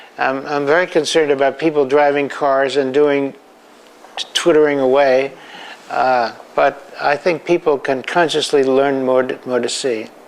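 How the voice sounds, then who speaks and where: Noticeable background noise sits behind a voice whose intonation stays monotone and flat. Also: man, fairly high pitch for a man, moderate pace. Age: 80s+. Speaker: photographer. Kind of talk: interview. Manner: halting, with frequent repeats.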